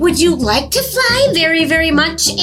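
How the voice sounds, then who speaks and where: A woman uses a put-on character voice, squeaky and extremely high-pitched, at a moderate pace. Loud background noise runs underneath. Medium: read story. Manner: polite, gentle.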